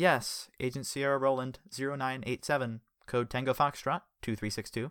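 A natural reading voice with fairly even intonation. The background is quiet.

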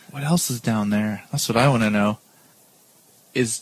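A man talking at a fairly slow pace. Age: 30s. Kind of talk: casual chat. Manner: animated.

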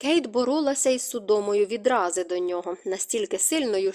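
An unforced reading voice delivers the text.

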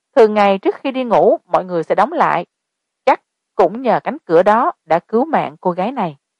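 Lively intonation marks a natural reading voice heard against a quiet background.

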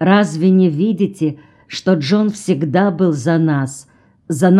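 Natural-voiced reading aloud, pitch varying by an ordinary amount.

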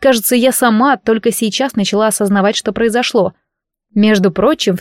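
An unforced reading voice, nothing much audible behind it

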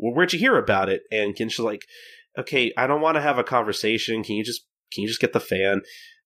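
Talking at a very fast pace, a man with a bright, sharp tone comes through on a very clean recording with a silent background. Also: medium pitch for a man, ordinary pitch variation. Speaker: podcast host. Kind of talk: casual podcast chat with manga recap. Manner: rambling, filler-heavy, casual.

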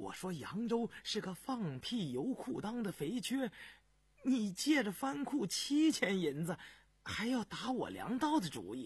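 A put-on character voice with a husky, rough edge, fairly slow pacing and very wide pitch swings. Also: man, high pitch for a man.

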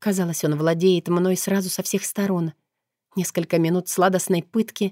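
A natural reading voice with fairly even intonation, over a quiet background

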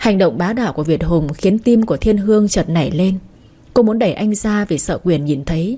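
The text is delivered in a natural reading voice.

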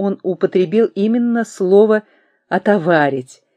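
A quiet background, with ordinary pitch variation while reading aloud in a natural voice

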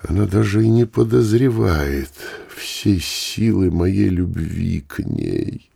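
The speaker reads text out plainly. Nothing more than straightforward reading is heard.

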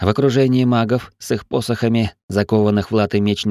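A natural reading voice carries fairly even intonation. The background is quiet.

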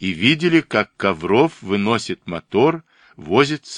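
This is plain reading aloud with lively intonation against a quiet background.

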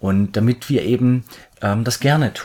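Here a man speaks at medium pitch, somewhat breathy. His intonation is lively. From Swabia, near Stuttgart. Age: 30s. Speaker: architect planning a world trip. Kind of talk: casual interview. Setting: living room, on a couch.

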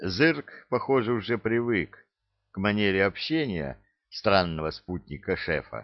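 In a natural reading voice with lively intonation, the speaker is heard against a quiet background.

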